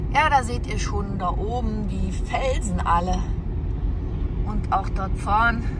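The speech comes at a very slow pace over loud background noise. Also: dry sound with no echo. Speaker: van travel vlogger. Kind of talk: casual vlog chat. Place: car. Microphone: phone near.

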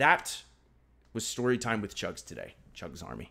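Against a quiet background, a man with vocal fry talks at a moderate pace. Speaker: live streamer. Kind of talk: casual stream chat reading donations. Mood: cheerful, upbeat.

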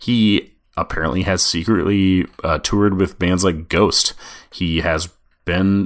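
At a very slow pace, a man with a Midwestern US accent speaks in a very deep, low voice with fairly even intonation. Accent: US Midwest. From Nebraska, Omaha. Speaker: podcast host, music journalist. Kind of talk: solo podcast monologue answering listener questions.

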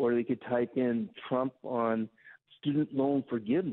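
The background stays quiet. A man's delivery moves at a very slow pace. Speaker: interview guest. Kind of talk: interview answer. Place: studio.

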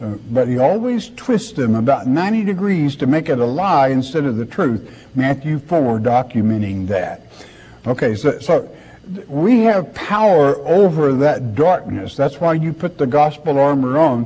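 A man with a fairly high pitch and a dark, mellow, somewhat breathy tone speaks at a fairly slow pace with very wide pitch swings. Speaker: preacher. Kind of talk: sermon. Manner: earnest, conversational preaching, pausing to ask rhetorical questions.

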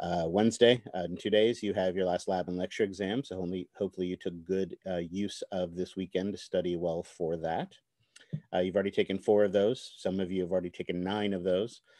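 A man's very deep, low voice at a very fast pace, flat and monotone, with a dry, echo-free sound over a quiet background. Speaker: university instructor. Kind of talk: lecture. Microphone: video call.

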